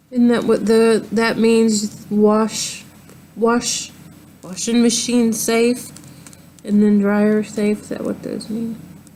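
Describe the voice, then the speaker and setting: A woman with an American accent speaks at a very slow pace in a monotone, flat intonation while background noise is noticeable. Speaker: crochet vlogger. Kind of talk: casual show-and-tell tutorial. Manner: halting, many ums.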